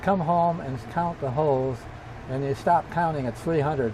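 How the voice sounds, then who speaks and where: Amid noticeable background noise, a man with an American accent and fairly high pitch speaks at a moderate pace with ordinary pitch variation. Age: 80s+. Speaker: World War II bomber pilot. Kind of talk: interview answer, personal war memories.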